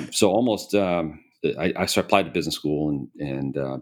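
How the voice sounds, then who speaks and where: This man has an American accent and a very deep, low pitch with vocal fry. He talks at a very fast pace. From US Midwest, Chicago area. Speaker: private equity investor, CEO. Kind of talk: interview conversation.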